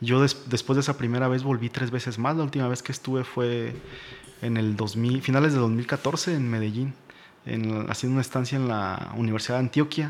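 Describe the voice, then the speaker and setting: Medium-pitched, a man talks in an unremarkable speaking voice at a fairly quick pace with fairly even intonation. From Mexico, Irapuato, Guanajuato. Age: 30s. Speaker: historian. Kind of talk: radio interview.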